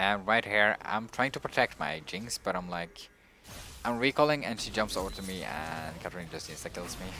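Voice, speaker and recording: With a non-native accent, a man talks at a moderate pace in a very deep, low pitch, his tone bright and sharp and his intonation lively. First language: not English. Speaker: gaming streamer. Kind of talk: gameplay commentary. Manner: halting.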